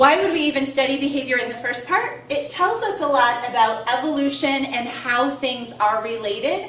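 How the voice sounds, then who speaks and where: At a moderate pace, a woman speaks with a high pitch and ordinary pitch variation over noticeable background noise. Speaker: biology teacher. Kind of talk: lecture.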